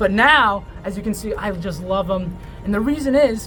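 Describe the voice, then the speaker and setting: The tone is animated. Noticeable background noise can be heard. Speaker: reptile show host. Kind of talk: educational presenting. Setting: reptile shop after hours.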